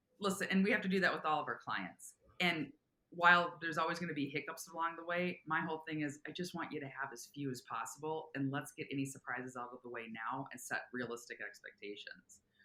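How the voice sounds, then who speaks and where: A woman speaks in an enthusiastic tone at a fairly quick pace, her intonation lively and her pitch very deep and low. Her tone is bright and sharp, with big swings in loudness. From Minnesota. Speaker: commercial real estate broker. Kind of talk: interview.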